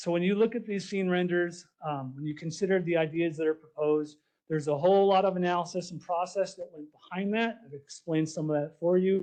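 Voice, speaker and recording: Loud and fairly quick with hardly any pauses, a man speaks at a high pitch with a dark, mellow tone and fairly even intonation. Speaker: park planning presenter. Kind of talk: public presentation.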